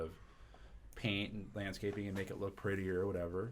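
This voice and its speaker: Speaking fairly quickly in an American accent, a man with a very deep, low pitch keeps a flat monotone amid audible room echo. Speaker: commercial real estate broker. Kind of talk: podcast interview.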